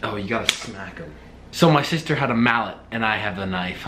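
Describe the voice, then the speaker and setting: A man is heard with loud background noise. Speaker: college student vlogger. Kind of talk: casual vlog chat. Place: kitchen. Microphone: phone near.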